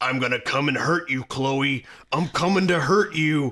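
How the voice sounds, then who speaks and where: A man uses a put-on character voice with a menacing tone and very even loudness. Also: fairly high pitch for a man, moderate pace. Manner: gruff, menacing.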